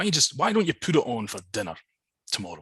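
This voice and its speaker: Very wide pitch swings and a bright, sharp tone mark this man's very fast speech. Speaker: storyteller. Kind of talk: folklore storytelling in a webinar. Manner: casual, conversational.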